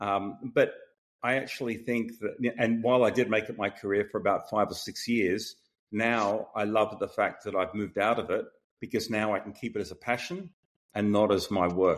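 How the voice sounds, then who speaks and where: Against a quiet background, a man speaks at a fairly low pitch in an Australian accent. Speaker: tech startup founder and CEO. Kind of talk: interview.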